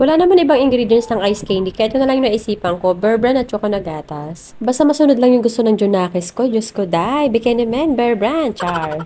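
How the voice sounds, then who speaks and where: The speaker moves at a fairly quick pace with lively intonation and hardly any pauses, against noticeable background noise. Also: woman. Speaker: vlogger, mother. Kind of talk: vlog voice-over narration. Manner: casual, chatty.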